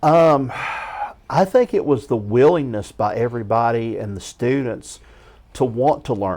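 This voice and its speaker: A man speaks at a medium pitch with a dark, mellow tone. His pitch varies in an ordinary way, and his pace is fairly slow. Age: 60s. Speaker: high school English teacher. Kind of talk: casual interview.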